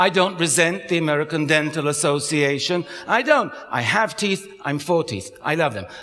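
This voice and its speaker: There is noticeable background noise behind this man's voice. He talks with hardly any pauses and ordinary pitch variation. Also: fairly high pitch for a man, moderate pace. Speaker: psychologist and author giving a talk. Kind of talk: public talk.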